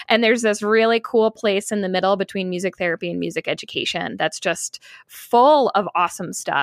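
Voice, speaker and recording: A woman with an American accent and a normal speaking voice talks at a moderate pace and medium pitch, with ordinary pitch variation. The sound is dry and close with no echo, very clean, over a silent background. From upstate New York. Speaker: music therapist. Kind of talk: interview.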